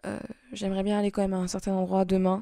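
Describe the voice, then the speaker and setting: A woman's dark, mellow voice on a very clean recording with a silent background. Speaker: vlogger. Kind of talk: vlog monologue. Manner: halting.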